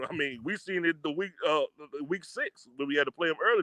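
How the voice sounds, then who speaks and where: Fairly high in pitch, a man with a Texas accent speaks with lively intonation. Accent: Texas twang. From Texas, Fort Worth. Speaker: football podcast guest. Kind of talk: casual chat.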